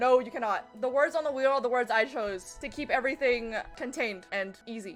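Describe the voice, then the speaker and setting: A woman speaks over noticeable background noise. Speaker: gaming streamer. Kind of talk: casual live-stream chat. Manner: fast.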